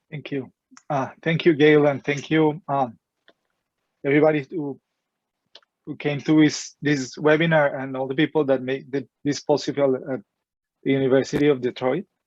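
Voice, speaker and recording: With a Colombian accent, a man of fairly high pitch talks at a moderate pace in a flat monotone, pausing long and often, in a dry, close sound with no echo. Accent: Colombian Spanish accent, noticeable. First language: Spanish. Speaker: philosophy professor. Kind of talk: lecture. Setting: webinar. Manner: halting, with repetitions.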